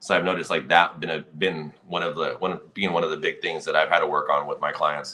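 A man at a fairly quick pace with hardly any pauses. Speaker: dog trainer and show host. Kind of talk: casual chat. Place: home room. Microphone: video call.

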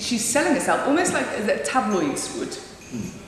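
A woman's voice carries strong room echo over light background noise. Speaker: actor and playwright. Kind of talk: interview answer. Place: empty room.

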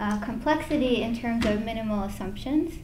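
Over noticeable background noise, a woman talks at a moderate pace with ordinary pitch variation. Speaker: presenter. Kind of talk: lecture. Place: hall.

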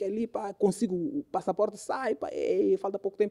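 A man with a high pitch and a dark, mellow tone talks at a fairly quick pace. His pitch variation is ordinary, and the background is quiet. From Mozambique. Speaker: DJ and music producer; guest, DJ. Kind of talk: casual interview chat. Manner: repetitive stammering. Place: studio. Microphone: studio mic.

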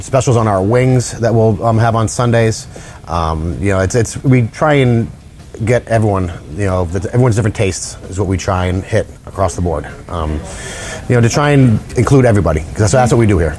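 A man with a normal speaking voice talks at a fairly quick pace and a fairly low pitch. Light background noise can be heard. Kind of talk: interview answer. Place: bar. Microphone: lapel.

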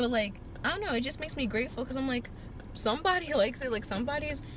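The intonation is lively. The sound is dry with no echo, though there is noticeable background noise. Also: woman. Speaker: vlogger. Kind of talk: casual vlog chat. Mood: reflective, a bit frustrated. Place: car. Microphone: phone near.

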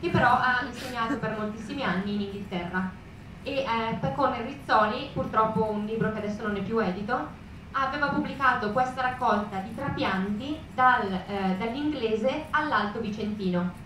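A moderate pace amid audible room echo and noticeable background noise. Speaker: literary translator. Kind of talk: lecture talk to audience. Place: hall.

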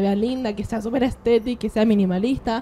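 A dark, mellow tone at a fairly quick pace with fairly even intonation. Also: woman. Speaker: podcast co-host, social media influencer. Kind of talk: casual chat.

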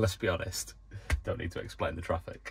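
A man talks fairly quickly while faint music sounds in the background. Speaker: van life vlogger. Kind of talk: casual vlog chat. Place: car. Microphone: phone near.

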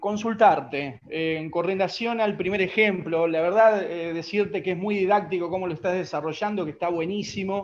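Ordinary pitch variation marks talking that goes at a fairly slow pace. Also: man. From Argentina. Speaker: musician, audience member. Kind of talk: Q&A question on video call.

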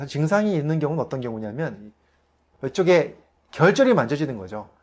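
A man at a fairly quick pace with very wide pitch swings, against a quiet background. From South Korea. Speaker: family physician and health educator; health educator. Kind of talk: health lecture to camera. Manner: polite, explanatory. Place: studio.

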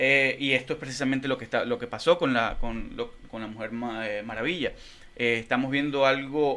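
The tone is bright and sharp, with ordinary pitch variation. Speech moves at a moderate pace. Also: man. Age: 30s. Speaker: podcast co-host and musician; podcast co-host. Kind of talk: casual chat. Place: studio. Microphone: studio mic.

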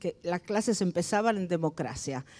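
Ordinary pitch variation runs through a dark, mellow tone. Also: woman. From Argentina, Entre Ríos; Argentina. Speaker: retired advertising creative; panelist. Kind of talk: panel discussion. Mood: calm, reflective. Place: hall. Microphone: handheld.

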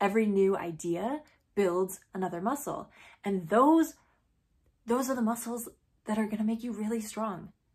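Somewhat breathy, a woman talks at a moderate pace over a quiet background. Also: ordinary pitch variation. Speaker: teacher-like speaker addressing students. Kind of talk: motivational speech to camera. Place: home room. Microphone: phone near.

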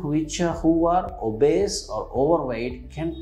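Over faint background music, a man talks at a fairly slow pace. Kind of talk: medical explainer. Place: office. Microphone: lapel.

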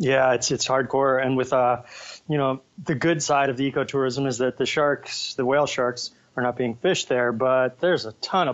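A man with a plain, everyday voice and medium pitch talks at a moderate pace with fairly even intonation. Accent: American. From United States. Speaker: ocean conservation activist. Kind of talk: interview. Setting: video call. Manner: casual.

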